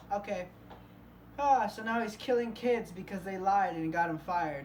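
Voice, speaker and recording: Audible room echo surrounds a woman of medium pitch who speaks at a moderate pace with ordinary pitch variation. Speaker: YouTuber reacting to videos. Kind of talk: casual reaction commentary.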